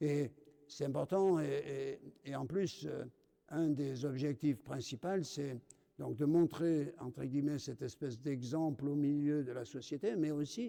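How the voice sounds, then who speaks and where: This man's delivery is fairly slow, carried by a dark, mellow tone. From France, Dordogne. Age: 70s. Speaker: deacon. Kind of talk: testimony. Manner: halting, many hesitations.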